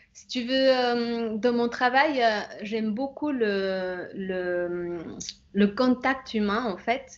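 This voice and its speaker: With a Bolivian accent, a woman talks at a very slow pace in a fairly high pitch. Her loudness swings widely while her pitch varies in an ordinary way. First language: Spanish (speaking French). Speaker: image consultant. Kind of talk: interview. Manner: halting, many hesitations.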